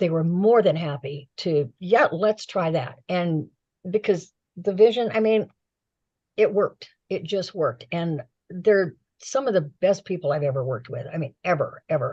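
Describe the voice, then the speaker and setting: Her voice sits fairly low, somewhat breathy with a dark, mellow tone. The woman talks at a moderate pace with lively intonation. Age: 70s. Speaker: tarot deck creator and author. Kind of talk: interview. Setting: live stream and radio simulcast.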